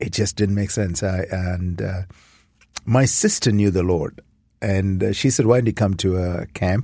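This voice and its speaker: A man with an Indian accent, very deep and low in pitch, with a dark, mellow tone, fairly even intonation and a fairly slow pace. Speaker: nonprofit mission director. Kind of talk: interview conversation.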